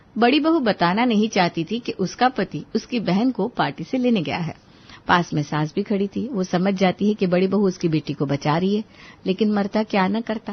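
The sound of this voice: With lively intonation, a woman talks at a moderate pace and medium pitch. Her voice has a slightly husky edge.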